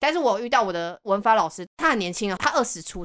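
A woman speaks very fast at a fairly high pitch, her pitch swinging very widely. The recording is very clean, dry and close, with no echo and a silent background. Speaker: podcast guest. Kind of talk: casual chat.

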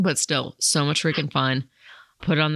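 The speaker is a woman. Her audio is dry and close, without any echo. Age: 30s. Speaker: podcast host and firearms instructor. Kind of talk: casual chat.

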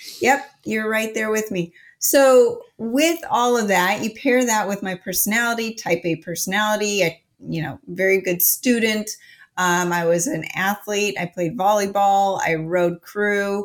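A woman's ordinary speaking voice at medium pitch, fairly slow, with ordinary pitch variation, in a very clean recording over a silent background. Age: 40s. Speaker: health coach and supplement expert. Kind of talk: interview.

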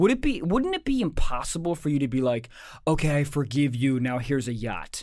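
With an unremarkable speaking voice, a man talks at a fairly quick pace with a fairly high pitch and ordinary pitch variation. The recording is very clean, with a silent background. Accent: American. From Maryland, US. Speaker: comedian and podcast co-host. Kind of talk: casual chat; reading aloud.

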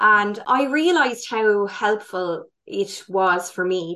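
Speaking at a medium pitch with ordinary pitch variation, a woman has a normal speaking voice. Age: 30s. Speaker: holistic wellness educator, former primary school teacher. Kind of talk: interview.

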